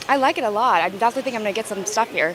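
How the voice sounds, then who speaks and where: A woman's fairly high voice with an American accent and ordinary pitch variation, against noticeable background noise. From Houston, Texas. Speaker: market visitor. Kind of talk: street interview.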